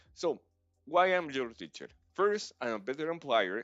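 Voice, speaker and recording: A man swings his pitch very widely at a moderate pace while music plays in the background. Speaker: game design teacher. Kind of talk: livestream tutorial. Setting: live stream.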